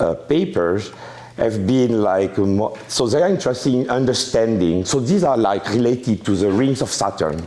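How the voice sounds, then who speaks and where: With a French accent and lively intonation, a man talks at a moderate pace in a medium pitch, and room echo can be heard. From France. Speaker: mathematics professor. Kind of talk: lecture. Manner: halting, many fillers and restarts.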